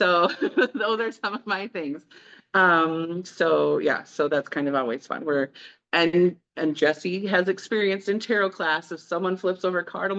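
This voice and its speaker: A woman with a Minnesotan accent, fairly low pitch and ordinary pitch variation at a fairly slow pace, over a quiet background. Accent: Minnesota. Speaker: tarot reader. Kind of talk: casual, conversational. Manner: gets animated and excited.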